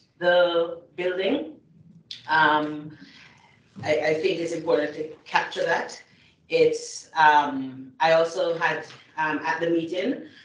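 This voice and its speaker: In a very deep, low voice, a woman speaks very slowly with fairly even intonation, over light background noise and audible room echo. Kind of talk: formal meeting remarks. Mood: earnest, concerned. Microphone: video call.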